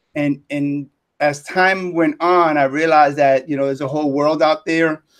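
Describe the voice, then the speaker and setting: Here is a man with a New York accent and a fairly high pitch. His intonation is monotone and flat. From New York City. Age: 60s. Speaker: retired teacher and business mentor. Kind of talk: live interview.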